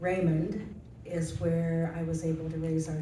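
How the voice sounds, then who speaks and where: A very slow delivery in an American accent, with noticeable background noise and audible room echo. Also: woman. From rural Nebraska. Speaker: senior living resident. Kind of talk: panel testimony.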